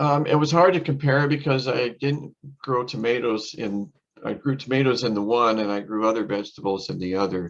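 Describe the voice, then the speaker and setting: With lively intonation, a man talks at medium pitch and a moderate pace. He has an ordinary speaking voice. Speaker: master gardener giving a talk. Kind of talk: lecture with Q&A.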